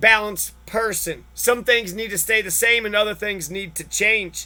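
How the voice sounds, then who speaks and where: A bright, sharp, raised and projected voice at a fairly slow pace, on a very clean recording with a silent background. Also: man. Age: 30s. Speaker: vlogger. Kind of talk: personal rant monologue. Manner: animated.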